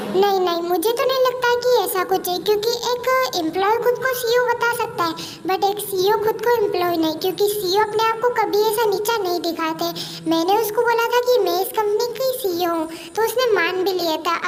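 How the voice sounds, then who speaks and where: A woman puts on a character voice at an extremely high pitch. She keeps a moderate pace over clear background noise. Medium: read story. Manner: brisk, scolding.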